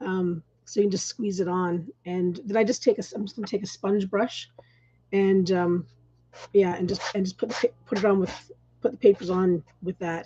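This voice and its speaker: At a moderate pace, a woman speaks in a dark, mellow tone, somewhat breathy, with fairly even intonation. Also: medium pitch for a woman. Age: 60s. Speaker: mixed media artist and crafter. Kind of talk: casual livestream craft demonstration with discussion. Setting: live stream. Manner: hesitant, many fillers and restarts.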